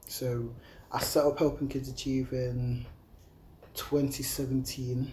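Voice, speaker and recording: With an East Midlands accent, a man speaks very slowly in a medium-pitched, dark, mellow, somewhat breathy voice, flat and monotone, with long, frequent pauses. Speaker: youth charity founder. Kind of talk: casual interview. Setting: leisure centre.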